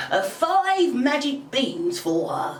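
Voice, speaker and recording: A woman's put-on character voice, high-pitched and croaky, with lively intonation and an audible echo. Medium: read story.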